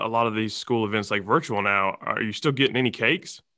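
This man talks with an Alabama accent at a medium pitch. His pace is fairly quick. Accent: Southern US (Alabama). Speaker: podcast host. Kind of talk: casual interview.

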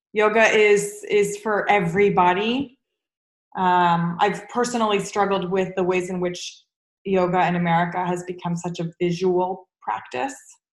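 Hers is a normal speaking voice, medium in pitch. The woman speaks at a moderate pace with fairly even intonation. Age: 30s. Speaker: yoga teacher and therapist. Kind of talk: interview.

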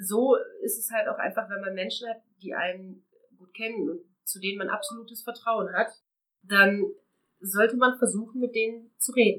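A woman talks at a moderate pace in a fairly high pitch, with a bright, sharp tone. Her intonation is fairly even, broken by long, frequent pauses. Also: big swings in loudness. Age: 30s. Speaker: abuse survivor sharing her story. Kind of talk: personal testimony.

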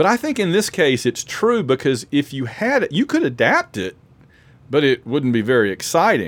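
Vocal fry marks this man's fairly high-pitched voice, spoken with an American accent and very wide pitch swings. The sound is dry and close, without echo. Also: moderate pace. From Alabama, US South. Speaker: podcast host. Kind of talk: casual chat.

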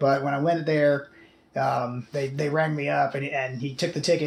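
At a moderate pace, a man with a fairly high, somewhat breathy voice speaks in a monotone, flat intonation. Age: 30s. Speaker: podcast host. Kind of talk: casual chat. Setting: home studio.

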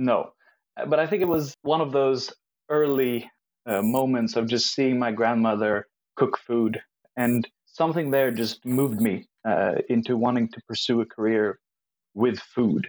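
In a plain, everyday voice, a man talks at a fairly slow pace and medium pitch with ordinary pitch variation, the sound dry and close with no echo. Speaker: professional chef. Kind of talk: casual chat.

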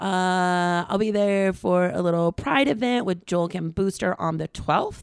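A woman's medium-pitched voice, an unremarkable speaking voice, at a fairly slow pace with ordinary pitch variation and hardly any pauses, on a very clean recording with a silent background. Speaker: comedian. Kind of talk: casual chat.

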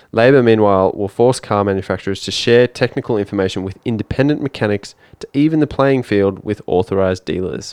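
Fairly low-pitched man with an Australian accent, at a fairly quick pace against a quiet background. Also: ordinary pitch variation, hardly any pauses. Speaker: accountant and podcast co-host. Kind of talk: casual chat. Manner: reading news items aloud.

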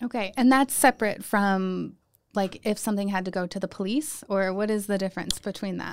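Moving at a fairly quick pace, a woman talks in an ordinary speaking voice with ordinary pitch variation. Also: medium pitch for a woman. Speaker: podcast host. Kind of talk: casual interview.

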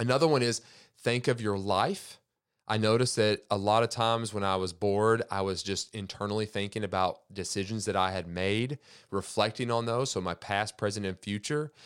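On a very clean recording with a silent background, a man uses a normal speaking voice, fairly low, at a moderate pace with ordinary pitch variation. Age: 30s. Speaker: podcast host. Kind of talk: solo monologue podcast.

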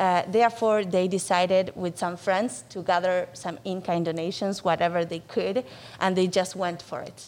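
Speaking with a Spanish accent, the voice moves at a moderate pace with fairly even intonation. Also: woman, medium pitch for a woman. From Argentina, Buenos Aires. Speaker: nonprofit executive director. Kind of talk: interview. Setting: studio.

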